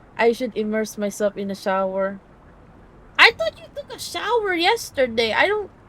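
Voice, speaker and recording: Against noticeable background noise, a woman speaks with a slight Filipino accent. Her pace is moderate. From Philippines. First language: Filipino language. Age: 20s. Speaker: streamer. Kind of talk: casual live stream chat with reading game text.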